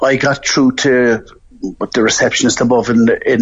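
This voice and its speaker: A man speaks with an Irish accent. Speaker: sepsis survivor. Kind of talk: personal testimony.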